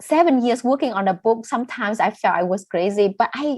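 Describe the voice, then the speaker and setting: A woman speaks with a Vietnamese accent. Her intonation is lively. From northern Vietnam, raised in southern Vietnam. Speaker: novelist and poet. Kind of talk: interview.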